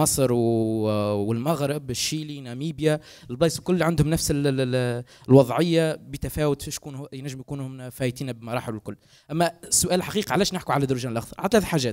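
A man talks at a moderate pace, his pitch varying in an ordinary way, against a quiet background. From Tunisia. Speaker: researcher; guest. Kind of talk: panel discussion. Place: hall. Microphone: handheld.

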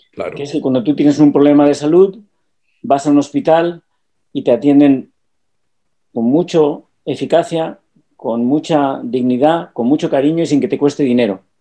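A man talks at a moderate pace with ordinary pitch variation. He takes long, frequent pauses against a quiet background. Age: 60s. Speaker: businessman. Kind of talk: casual chat. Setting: video call. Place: home room. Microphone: webcam.

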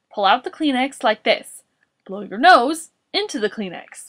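Putting on a character voice, a woman speaks at a fairly slow pace in a fairly high pitch, with big pitch swings and a fairly bright tone.

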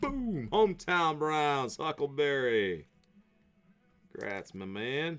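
A man with an American accent talks at a very slow pace, with long, frequent pauses and very wide pitch swings. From West Virginia. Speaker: sports card break host. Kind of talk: live card break streaming commentary. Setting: live stream studio. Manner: animated. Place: office. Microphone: webcam.

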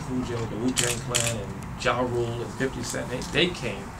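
A man is speaking. Loud background noise runs behind him. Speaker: interviewee. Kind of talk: interview answer. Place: classroom.

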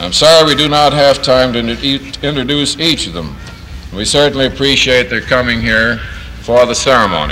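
Amid light background noise, a man talks at a moderate pace and medium pitch, with ordinary pitch variation. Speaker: master of ceremonies, plant manager. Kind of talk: ceremony emcee speech, 1950s newsreel style. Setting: outdoor ceremony with PA system. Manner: formal, brisk, clear. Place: factory. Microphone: old recording.

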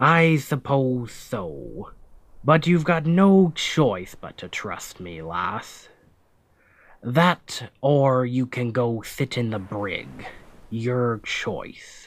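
In a very clean recording with a silent background, a man puts on a character voice at medium pitch and speaks at a very slow pace. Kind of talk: ASMR audio roleplay. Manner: commanding, then gentle and reassuring.

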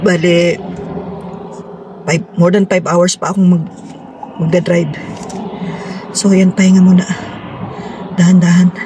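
Delivered at a moderate pace with long, frequent pauses, the voice is monotone and flat, the sound dry with no echo, and noticeable background noise runs underneath. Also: woman. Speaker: solo road-trip vlogger. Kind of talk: casual vlog chat. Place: car. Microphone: phone near.

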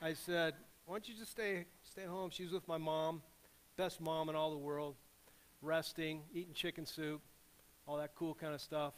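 A man is speaking. His pace is moderate and his pitch variation ordinary. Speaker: preacher. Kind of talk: sermon. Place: church.

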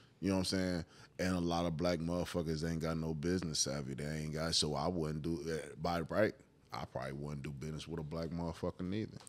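A man talks very fast at a very deep, low pitch. His intonation is monotone and flat. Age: 30s. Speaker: podcast co-host. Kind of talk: casual chat. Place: home room. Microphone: studio mic.

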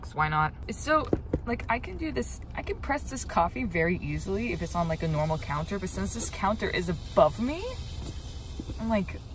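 There is noticeable background noise around a woman speaking at a moderate pace, the sound dry with no echo. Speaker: van life vlogger. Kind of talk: casual vlog chat. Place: car. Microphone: phone near.

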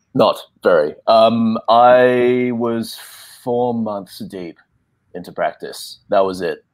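A man with an Australian accent speaks at a very slow pace with big swings in loudness over a quiet background. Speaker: actor. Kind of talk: panel discussion. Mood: relaxed, reflective. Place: home room.

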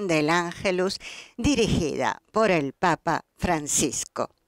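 The voice moves at a very slow pace with ordinary pitch variation. The sound is dry with no echo, over a quiet background. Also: woman. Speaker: broadcast commentator. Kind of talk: commentary. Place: studio.

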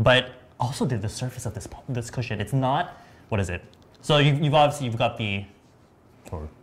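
A man with an American accent speaks at a fairly quick pace. His voice is somewhat breathy, with lively intonation. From US West Coast, San Diego. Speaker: beauty livestream host. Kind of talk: live product demo chat. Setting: livestream studio. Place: studio. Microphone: lapel.

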